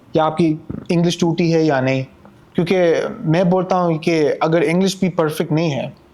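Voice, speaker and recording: Pitched high, a man speaks with monotone, flat intonation. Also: very even loudness. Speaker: interview guest. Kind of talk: casual interview chat. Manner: halting, mixes English and Urdu.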